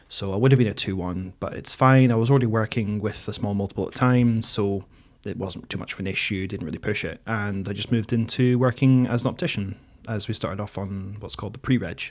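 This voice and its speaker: Very fast and with fairly even intonation, a man with a northeast Scottish accent and a fairly low pitch talks on a very clean recording with a silent background. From northeast Scotland, between Aberdeen and Dundee. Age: 30s. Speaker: mature student. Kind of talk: podcast interview. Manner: hesitant, many fillers.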